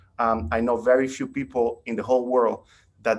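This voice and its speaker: A man speaks with a Spanish accent. His pitch is medium and his pace moderate. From Nicaragua. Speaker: caller. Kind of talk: casual chat.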